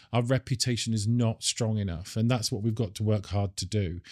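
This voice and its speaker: A medium-pitched man with a British accent, dry and close with no echo, on a very clean recording over a silent background. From United Kingdom. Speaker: industry association executive. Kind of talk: interview. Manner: halting, with fillers.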